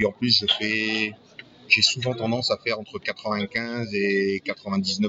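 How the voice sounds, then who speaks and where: There is noticeable background noise as a man speaks at a medium pitch. His pace is very slow. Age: 60s. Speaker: retiree, role-playing club founder and game master. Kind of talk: casual interview.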